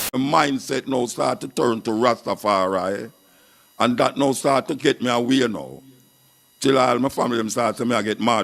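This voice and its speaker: A man speaks with a Jamaican accent and some vocal fry. His pitch rises and falls in an ordinary way. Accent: Jamaican Patois. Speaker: dub poet and radio presenter. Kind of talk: interview answer.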